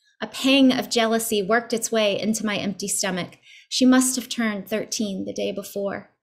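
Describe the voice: A passage is read out plainly. Nothing beyond simple reading aloud is heard.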